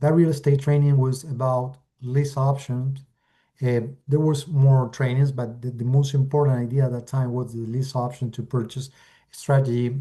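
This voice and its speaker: With an Argentine accent, a man speaks at a moderate pace in a medium pitch, his tone dark and mellow, somewhat breathy, with monotone, flat intonation over a quiet background. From Argentina. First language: Spanish. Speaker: real estate investor. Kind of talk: webinar presentation. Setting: video call. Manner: halting, with many fillers.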